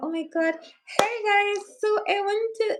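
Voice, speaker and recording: The woman puts on a character voice, pitched extremely high. Her pace is fairly slow. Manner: smiling, overly cheerful.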